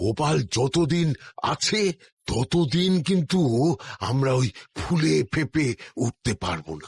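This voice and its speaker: Putting on a cartoonish character voice, a man speaks at a fairly slow pace in a medium pitch. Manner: grumbling.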